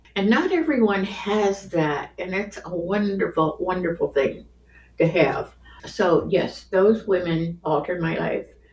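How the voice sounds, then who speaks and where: A woman talks at a fairly slow pace with ordinary pitch variation. Noticeable background noise runs under her voice. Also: medium pitch for a woman. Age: 80s+. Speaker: grandmother sharing life stories. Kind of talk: casual interview. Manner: halting.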